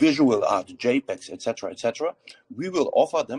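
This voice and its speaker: A man with a slight German accent, recorded with a dry, close sound and no echo. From Germany. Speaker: crypto project founder. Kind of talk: AMA panel discussion. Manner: halting, many fillers.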